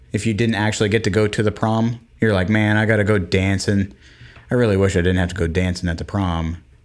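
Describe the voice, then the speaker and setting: A man's fairly low voice at a very fast pace, with very even loudness and fairly even intonation. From Florida. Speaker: podcast co-host. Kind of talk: casual chat.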